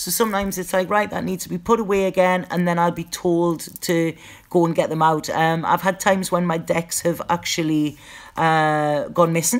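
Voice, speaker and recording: On a very clean recording with a silent background, a woman with a northeast English accent speaks at a moderate pace, with a fairly low pitch and fairly even intonation. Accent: northeast English (Geordie-type). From northeast England. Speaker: psychic tarot reader. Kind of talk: live stream Q&A chat. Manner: casual, halting with repetitions.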